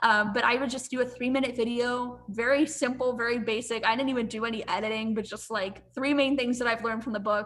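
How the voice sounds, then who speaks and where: A woman talks in an animated tone at a very fast pace, her fairly high voice barely pausing over noticeable background noise. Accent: American. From US, western Pennsylvania (near Pittsburgh). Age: 20s. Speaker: marketing professional. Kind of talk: interview.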